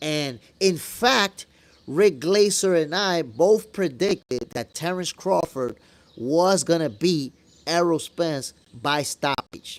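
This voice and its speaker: Intonation is lively while the pace is very slow. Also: man, high pitch for a man. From New York (moved from Dominican Republic at eight). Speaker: boxing commentator, channel host. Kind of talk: live stream chat answering viewer questions. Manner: casual, conversational.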